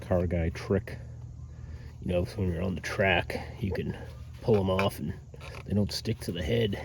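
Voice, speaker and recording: A man's very deep, low, somewhat breathy voice, at a moderate pace with fairly even intonation and long, frequent pauses. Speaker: DIY car repair YouTuber. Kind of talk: casual how-to vlog narration. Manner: casual, hesitant with fillers; whispering.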